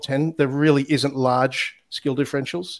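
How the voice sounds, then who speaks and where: A man with an Australian accent speaks at a moderate pace in a fairly high pitch, his intonation monotone and flat. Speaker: former rugby player and sports analytics founder. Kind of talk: casual interview chat.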